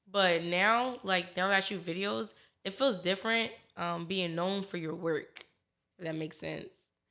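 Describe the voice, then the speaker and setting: Bright and sharp in tone, a woman with an American accent sounds animated, her medium pitch showing ordinary variation. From Philadelphia, US. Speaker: video director. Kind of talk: podcast interview. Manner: fast.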